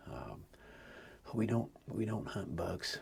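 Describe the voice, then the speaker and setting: Someone whispers at a moderate pace. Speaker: homesteader and hunter. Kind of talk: casual vlog talk. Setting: outdoors in a deer stand. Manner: quiet, hushed.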